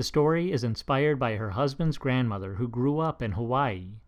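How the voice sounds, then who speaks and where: In a quiet background, a man of medium pitch speaks at a moderate pace with ordinary pitch variation. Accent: Upper Midwest. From Minnesota. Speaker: podcast host. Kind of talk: interview; scripted introduction.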